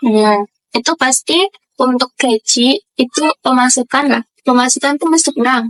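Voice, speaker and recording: Heard in a dry, close sound with no echo, a woman speaks at a fairly slow pace in a high pitch. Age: 20s. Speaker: university student and local enterprise worker. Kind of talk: documentary interview. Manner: casual, hesitant with fillers.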